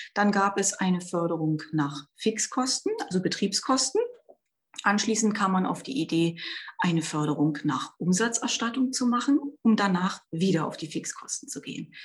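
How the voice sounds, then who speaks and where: Somewhat breathy, a woman of medium pitch speaks at a moderate pace with lively intonation. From Brandenburg, eastern Germany. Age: 40s. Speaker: member of parliament. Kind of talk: interview.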